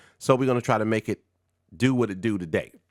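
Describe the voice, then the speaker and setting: A man speaks in an animated tone. The recording is very clean, with a silent background. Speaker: movie reviewer and online radio host. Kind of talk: casual video review. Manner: animated, casual.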